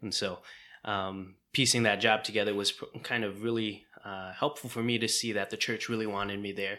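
A man with an American accent talks fairly quickly at a fairly low pitch, his tone bright and sharp. His intonation is monotone and flat, on a very clean recording with a silent background. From US Midwest. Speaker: podcast co-host, divinity student.

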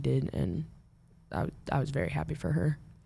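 A woman talks with an American accent. Vocal fry runs through her voice. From Omaha, Nebraska, US Midwest. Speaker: college softball pitcher. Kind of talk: interview.

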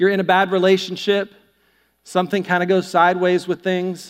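This man has a high pitch and a fairly quick pace. The recording is very clean, with a silent background. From US South, North Carolina. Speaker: pastor. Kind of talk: sermon. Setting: church. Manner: animated.

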